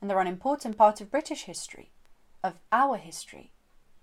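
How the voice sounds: The speaker uses a natural reading voice.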